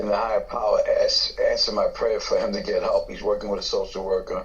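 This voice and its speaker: A man's fairly quick speech amid noticeable background noise. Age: 60s. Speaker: recovering addict sharing at meeting. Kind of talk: testimony.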